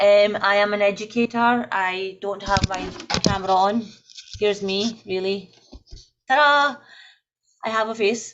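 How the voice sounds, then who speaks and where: A moderate pace with a Scottish accent. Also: woman. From Scotland. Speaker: secondary school teacher. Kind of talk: online panel introduction. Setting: video call live stream.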